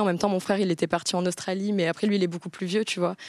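The speech comes at a very fast pace, with a dry, close sound with no echo, in a very clean recording with a silent background. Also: woman. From south-west France, Bayonne. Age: 20s. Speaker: content creator. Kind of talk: casual chat.

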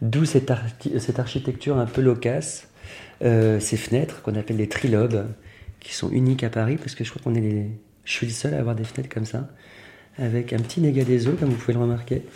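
A man speaks at medium pitch in a dark, mellow, somewhat breathy tone. His intonation stays fairly even, broken by long, frequent pauses. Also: fairly quick pace. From Normandy, France. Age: 40s. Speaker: fashion designer. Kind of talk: interview. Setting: at home.

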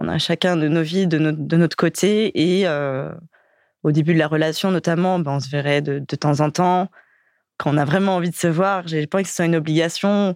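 Her voice is an unremarkable speaking voice, fairly low for a woman, with fairly even intonation. She speaks at a moderate pace on a very clean recording with a silent background. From Paris suburbs, Val-de-Marne. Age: 20s. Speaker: dating profile guest. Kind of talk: casual interview.

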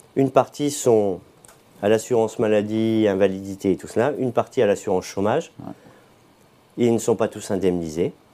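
A man's dark, mellow voice at a moderate pace, with ordinary pitch variation, big swings in loudness, and long, frequent pauses. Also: fairly low pitch for a man. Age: 50s. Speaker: trade union leader. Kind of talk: live interview.

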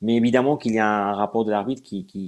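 In a very clean recording with a silent background, a man with a Spanish accent speaks in a dark, mellow tone at medium pitch with ordinary pitch variation. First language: Spanish (speaking French). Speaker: sports journalist. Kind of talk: live stream interview. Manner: halting.

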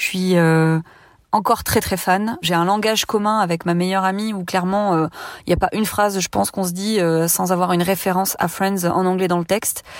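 A woman at a fairly quick pace with monotone, flat intonation, in a very clean recording with a silent background. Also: medium pitch for a woman. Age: 30s. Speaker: listener testimonial. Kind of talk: testimony.

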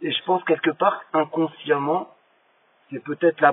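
A man at a moderate pace. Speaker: former prisoner. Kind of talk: voice message. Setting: phone voice message. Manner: halting. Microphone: poor audio quality.

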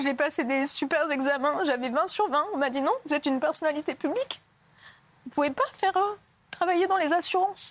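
The pace is fairly quick with ordinary pitch variation. Loudness stays very even throughout. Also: woman, high pitch for a woman. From southern France, near Montpellier. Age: 30s. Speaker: former reality TV contestant and author. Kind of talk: TV interview testimony. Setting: TV studio, live broadcast.

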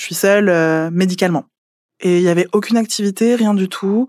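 A woman with a plain, everyday voice speaks at a fairly quick pace in a medium pitch, her intonation fairly even, on a very clean recording with a silent background. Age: 20s. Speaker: former psychiatric clinic patient. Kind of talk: testimony.

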